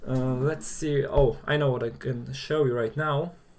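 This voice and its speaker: This man speaks in a Polish accent. His pitch is medium and his pace fairly slow. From Poland. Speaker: maker YouTuber. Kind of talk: live stream chat. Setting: live stream. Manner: hesitant, many fillers.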